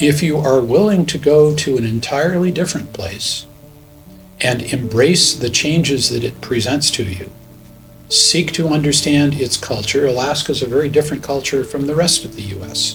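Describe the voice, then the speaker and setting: With music in the background, a man talks at a moderate speed in a fairly high voice whose pitch moves in a normal way. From United States. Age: 70s. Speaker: missionary. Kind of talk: interview testimony. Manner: measured, thoughtful with hesitations.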